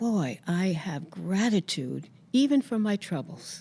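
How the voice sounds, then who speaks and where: A woman's somewhat breathy, dark and mellow voice at medium pitch, very slow, on a very clean recording with a silent background. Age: 80s+. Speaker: psychologist and writer. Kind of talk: interview answer.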